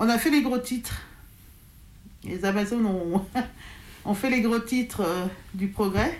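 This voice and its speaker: A somewhat breathy woman at a very slow pace, with ordinary pitch variation and long, frequent pauses. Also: fairly high pitch for a woman. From France, Lyon area. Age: 40s. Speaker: hip-hop crew leader, association president. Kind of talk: interview testimony. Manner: halting, many fillers.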